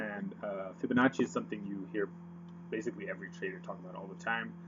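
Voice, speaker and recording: Very wide pitch swings mark a man talking at a very fast pace. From Netherlands. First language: Dutch. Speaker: forex trader. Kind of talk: tutorial. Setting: screen recording with webcam. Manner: hesitant, many fillers.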